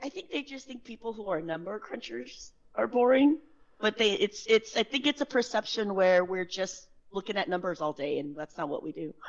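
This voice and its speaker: Her fairly high voice swings very widely in pitch and greatly in loudness as this woman talks at a fairly quick pace in an animated tone. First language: not English. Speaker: sales engineer, tax professional. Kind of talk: podcast interview.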